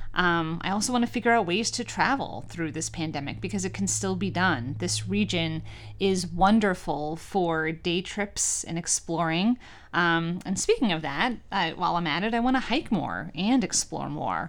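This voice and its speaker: In a very clean recording with a silent background, a woman with an American accent speaks at a moderate pace with a fairly low pitch, vocal fry, and very wide pitch swings. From New York. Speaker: college president and podcast host. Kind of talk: scripted monologue; casual interview.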